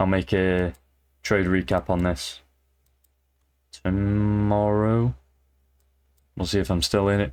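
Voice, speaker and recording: In a British accent, the speaker goes at a very slow pace with long, frequent pauses. The recording is very clean, with a silent background. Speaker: amateur trader. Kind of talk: casual trading vlog. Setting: at home, in bed late at night. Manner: casual, hesitant with fillers; quiet, talking softly late at night.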